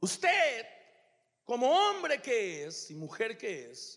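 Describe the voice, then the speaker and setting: This man's voice sits at an extremely high pitch. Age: 40s. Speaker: pastor. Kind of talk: sermon.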